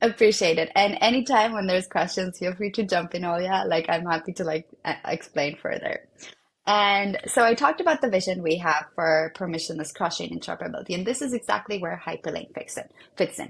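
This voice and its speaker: A woman with a non-native accent talks at a fairly quick pace and medium pitch. Her voice is somewhat breathy, with ordinary pitch variation. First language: not English. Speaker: developer relations at a blockchain protocol. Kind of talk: technical explainer in a web interview. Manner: many fillers and false starts.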